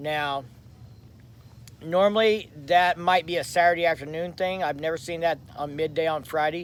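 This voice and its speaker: This man talks loudly at a moderate pace. His pitch sits high for a man. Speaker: motorcycle vlogger. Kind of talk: live stream chat. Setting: rented lake house. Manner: casual.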